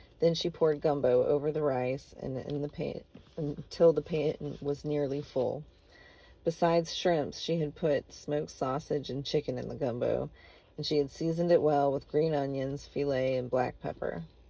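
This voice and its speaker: A woman puts on a character voice that is raspy and very deep, with a very low pitch. Her delivery is monotone and flat at a moderate pace. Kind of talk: literary audiobook narration. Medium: read story. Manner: measured, understated.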